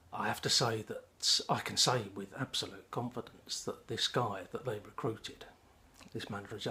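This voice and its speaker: With an English accent, the voice has a bright, sharp tone and ordinary pitch variation. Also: man. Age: 60s. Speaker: pipe-smoking vlogger, retired civil servant. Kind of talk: personal monologue, storytelling. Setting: home, smoking a pipe. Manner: halting, frequent ums.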